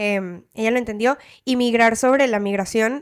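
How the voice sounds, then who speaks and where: The speaker has a slight Caracas accent and a fairly slow pace. The intonation is fairly even. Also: woman. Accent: slight Caracas Venezuelan. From Venezuela. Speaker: podcast co-host. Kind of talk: casual chat.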